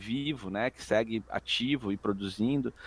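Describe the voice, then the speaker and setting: On a very clean recording with a silent background, a man speaks in an unremarkable speaking voice, fairly low in pitch with fairly even intonation. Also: dry, close sound with no echo. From Brazil, Jundiaí (São Paulo state). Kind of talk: casual chat.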